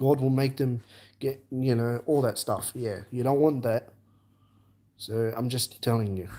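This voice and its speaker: At a fairly slow pace with long, frequent pauses, a man with an Australian accent speaks in a dark, mellow tone at a medium pitch with fairly even intonation. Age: 20s. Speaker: live streamer. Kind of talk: live stream chat. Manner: halting.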